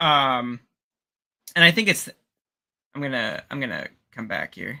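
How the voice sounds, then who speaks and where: Fairly slow speech with a slight Pittsburgh accent. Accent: bit of Pittsburgh. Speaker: 3D sculptor, co-host. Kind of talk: casual chat on live stream. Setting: live stream from outside the studio. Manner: halting, many fillers.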